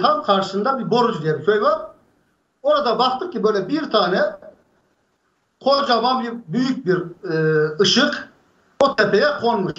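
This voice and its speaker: An extremely high-pitched man with a bright, sharp tone, fairly slow, in audible room echo. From Aksaray, central Anatolia, Turkey; Turkey. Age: 60s. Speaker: UFO eyewitness; witness. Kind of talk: storytelling. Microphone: video call.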